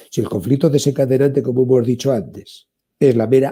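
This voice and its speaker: A man speaks with a Spanish accent at a medium pitch. His tone is dark and mellow and somewhat breathy. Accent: Spanish (Spain). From Spain. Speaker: therapist and author. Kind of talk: interview.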